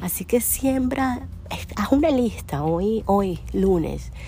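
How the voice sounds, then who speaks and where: A woman speaks very slowly in a Venezuelan accent. Audible room echo and noticeable background noise surround her voice. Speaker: podcast host, entrepreneur. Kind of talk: casual solo podcast monologue.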